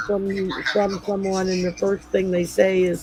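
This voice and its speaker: Noticeable background noise accompanies talking at a fairly slow pace. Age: 60s. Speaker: talk show guest. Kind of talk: casual chat.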